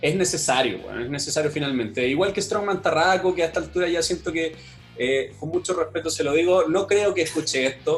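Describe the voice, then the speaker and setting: A man talks fairly quickly while music runs in the background. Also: fairly high pitch for a man, ordinary pitch variation. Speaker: fitness podcaster and marketing professional. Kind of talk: casual chat.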